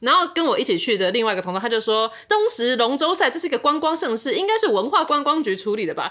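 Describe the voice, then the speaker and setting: Raising and projecting her high voice over noticeable background noise, a woman races at a very fast pace with hardly any pauses and very wide pitch swings. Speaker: podcast co-host. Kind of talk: casual chat.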